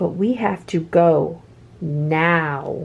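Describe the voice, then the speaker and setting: A woman speaks in a put-on character voice pitched fairly low for a woman. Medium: read story. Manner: patient, coaxing.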